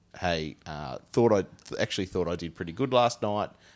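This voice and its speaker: A man's very deep, low voice with a Tasmanian accent and lively intonation. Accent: Tasmanian Australian. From Tasmania, Australia. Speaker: podcast host. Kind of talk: casual comedic chat.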